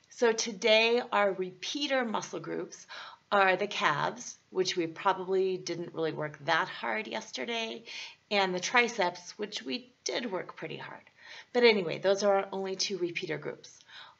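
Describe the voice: Putting on a character voice, a woman of medium pitch sounds raspy and hoarse, speaking at a moderate pace with lively intonation.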